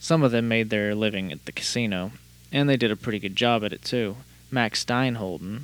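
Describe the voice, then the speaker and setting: A normal speaking voice, fairly quick, its pitch varying in an ordinary way. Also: man. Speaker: podcast host. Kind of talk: casual podcast chat with hard-boiled noir narration. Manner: casual, chatty, filler-heavy; noir narration: gruff, dry, world-weary private-eye delivery.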